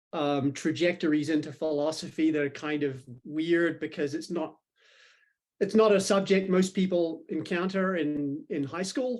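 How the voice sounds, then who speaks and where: With a New Zealand accent, a man speaks at a moderate pace in a fairly high pitch with ordinary pitch variation. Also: quiet background. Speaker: philosophy professor. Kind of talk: podcast interview.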